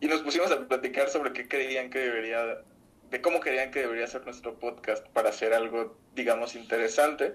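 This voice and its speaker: With a Mexican accent, a man speaks at a medium pitch with ordinary pitch variation. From Mexico, Zamora (Michoacán). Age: 20s. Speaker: musician and podcaster. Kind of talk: casual chat.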